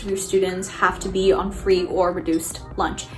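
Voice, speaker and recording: A woman speaks at a moderate pace. The room echo is audible, and background noise is noticeable. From US, low-income immigrant family. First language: Spanish. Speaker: college student, vlogger. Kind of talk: personal video diary.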